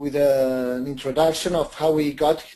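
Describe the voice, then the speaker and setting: A man with a Spanish accent, a dark, mellow tone, fairly even intonation and a fairly slow pace. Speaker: microfinance organisation founder and lecturer. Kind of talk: webinar presentation. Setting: online webinar. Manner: hesitant, repeats words.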